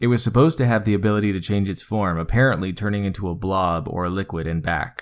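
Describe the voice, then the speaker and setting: A man talks at a very fast pace with hardly any pauses. His fairly low pitch shows ordinary variation. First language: Spanish. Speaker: gaming video narrator. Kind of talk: scripted narration.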